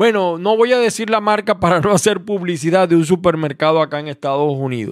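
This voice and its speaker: This man has a high-pitched voice with a Maracaibo accent. His pitch swings very widely. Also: very clean recording, silent background. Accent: Maracaibo (Zulia) Venezuelan. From Venezuela, Maracaibo. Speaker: radio host. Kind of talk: radio opinion commentary.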